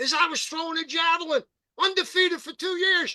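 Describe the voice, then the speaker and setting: A man's raised, projected voice with a bright, sharp tone and a dry, close sound with no echo. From US, rural central Pennsylvania (Perry County). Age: 70s. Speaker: journalist and radio host. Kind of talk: podcast interview.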